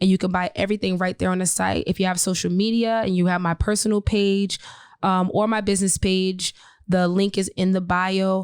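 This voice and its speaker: A woman's medium-pitched voice at a fairly quick pace, fairly even in intonation, dry and close with no echo, on a very clean recording with a silent background. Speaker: hairstylist and event organizer. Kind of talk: interview. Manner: hesitant with frequent fillers.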